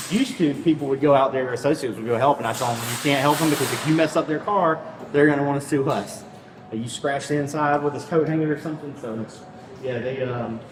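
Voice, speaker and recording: A man speaks very fast at a fairly high pitch with ordinary pitch variation. Noticeable background noise and audible room echo are present. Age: 30s. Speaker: store loss prevention officer. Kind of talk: casual chat.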